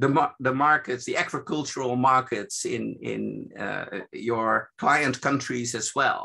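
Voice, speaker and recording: A man talks at a fairly slow pace. Behind him, everything is quiet. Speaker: evaluation expert presenting a seminar. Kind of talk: lecture. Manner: halting, many fillers.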